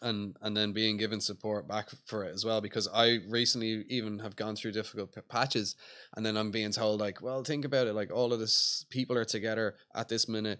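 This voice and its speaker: A man with a Dublin accent talks at a fairly quick pace with hardly any pauses, his pitch fairly low and his tone bright and sharp. His intonation stays monotone and flat, in a very clean recording with a silent background. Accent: Dublin Irish. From Ireland, Dublin. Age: 20s. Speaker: skateboard magazine founder. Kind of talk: casual interview chat. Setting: outdoors at a skate plaza.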